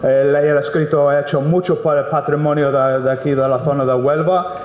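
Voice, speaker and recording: Speaking at a moderate pace with an English accent, a man with a fairly high pitch is heard over noticeable background noise and audible room echo. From England. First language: English (speaking Spanish). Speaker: mining company project director. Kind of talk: impromptu speech at book presentation. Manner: halting, many fillers and repetitions.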